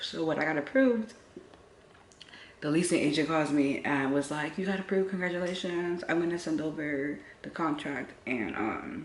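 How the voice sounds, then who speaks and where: With audible room echo, a woman with a very deep, low pitch talks at a moderate pace, her intonation lively. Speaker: lifestyle vlogger and spiritual reader. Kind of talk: casual storytime.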